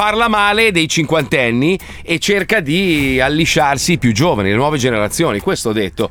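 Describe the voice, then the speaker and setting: Against noticeable background noise, a man with a fairly high voice sounds animated, his pitch swinging very widely. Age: 50s. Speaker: radio host. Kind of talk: casual chat.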